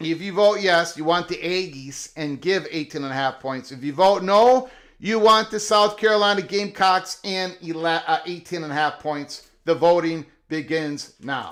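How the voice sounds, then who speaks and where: A man's high-pitched voice with a strong Minnesota accent, ordinary pitch variation and a fairly slow pace. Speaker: live show host running audience betting polls. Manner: energetic countdown, announcer style.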